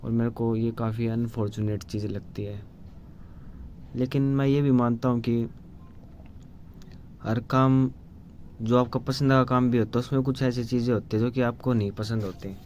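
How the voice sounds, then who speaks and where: A man's monotone, flat delivery broken by long, frequent pauses. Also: medium pitch for a man. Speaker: vlogger. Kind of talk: casual monologue. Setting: solo video to camera. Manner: halting.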